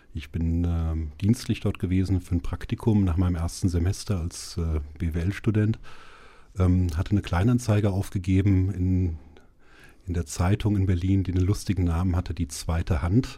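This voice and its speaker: In a very clean recording with a silent background, a man with a very deep, low pitch speaks at a moderate pace, his tone dark and mellow, somewhat breathy, with fairly even intonation. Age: 40s. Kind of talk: interview. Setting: studio. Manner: hesitant, many fillers.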